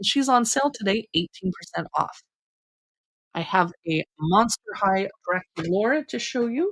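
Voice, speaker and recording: The tone is enthusiastic, with ordinary pitch variation and a dry, close sound with no echo. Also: woman. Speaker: online shopping live streamer. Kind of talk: shopping live stream. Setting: home office. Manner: fast; chatty, enthusiastic.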